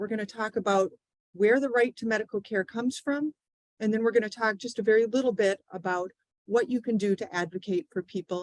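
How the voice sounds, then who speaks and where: A woman speaks at a fairly quick pace in a fairly high voice with ordinary pitch variation, recorded dry and close with no echo. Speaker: legal advocacy speaker. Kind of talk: public presentation. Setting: live event with audience and Zoom. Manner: soft-spoken.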